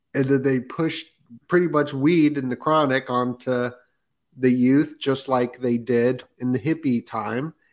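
A man speaks in an unremarkable speaking voice, pitched in the medium range. His intonation stays fairly even as he goes at a fairly slow pace. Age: 30s. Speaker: podcaster guest. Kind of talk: casual chat.

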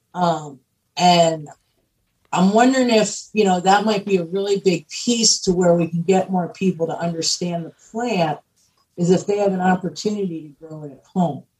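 This woman has an American accent and a somewhat breathy voice. She keeps a moderate pace. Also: medium pitch for a woman, ordinary pitch variation. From Pennsylvania. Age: 50s. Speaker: cannabis entrepreneur and activist. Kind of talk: podcast interview.

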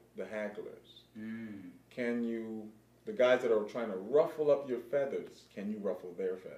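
Audible room echo surrounds a man with a dark, mellow tone and a medium pitch. His loudness swings widely, while his pitch varies in an ordinary way. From Pasadena, California. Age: 40s. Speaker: streetball player. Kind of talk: casual interview chat.

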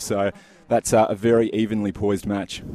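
The man talks in an Australian accent, his tone dark and mellow. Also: dry, close sound with no echo. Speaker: tennis reporter. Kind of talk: live report, casual. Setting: at tennis venue.

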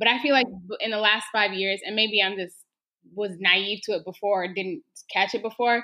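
An unremarkable speaking voice, a woman with an American accent. She talks at a moderate pace in a fairly high pitch. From Texas. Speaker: community organizer. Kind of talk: podcast interview.

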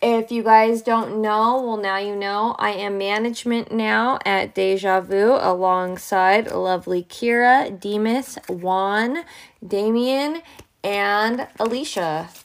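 A loud woman's voice at a medium pitch, with ordinary pitch variation and a very slow pace. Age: 20s. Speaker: podcast host, tarot reader. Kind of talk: solo casual monologue. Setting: home recording.

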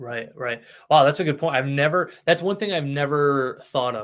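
In a very clean recording with a silent background, a man with a normal speaking voice talks at a fairly high pitch for a man. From US Midwest (Cicero, Illinois area). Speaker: podcast host. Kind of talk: casual chat; scripted narration.

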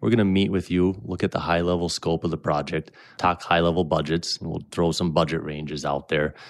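A man with an American accent and a very deep, low pitch talks at a fairly quick pace with hardly any pauses and fairly even intonation. The recording is very clean, with a silent background. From Minnesota, Brainerd area. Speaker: landscape company executive. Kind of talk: interview. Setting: studio.

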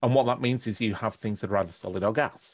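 Speaking with an English accent, a man uses a fairly low pitch and fairly even intonation. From northern England. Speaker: astrophysics professor. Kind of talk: interview. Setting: phone call.

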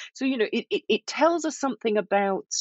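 A woman speaks with a Yorkshire accent. Her pitch varies in an ordinary way. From northern England, Yorkshire. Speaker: professor and author. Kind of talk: interview.

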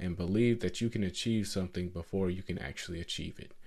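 Over a quiet background, a man with an American accent has an unremarkable speaking voice, fairly low in pitch with ordinary pitch variation. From US South, Atlanta, Georgia. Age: 20s. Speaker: podcast host. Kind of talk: monologue podcast, advice talk.

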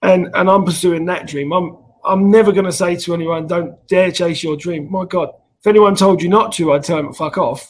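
Speaking with a southern English accent, a man uses a high pitch, a fairly quick pace, and fairly even intonation. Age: 30s. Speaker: rugby organization founder. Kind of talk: casual interview.

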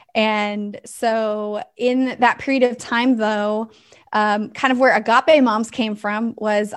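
A woman speaks with an American accent in an unremarkable speaking voice. Her pitch is fairly high and her intonation fairly even. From US West Coast. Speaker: ministry founder. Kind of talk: casual interview.

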